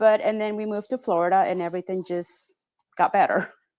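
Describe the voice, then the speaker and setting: This woman speaks with a Spanish accent. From Peru, Pacific coast. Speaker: real estate agent. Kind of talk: casual chat. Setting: podcast interview.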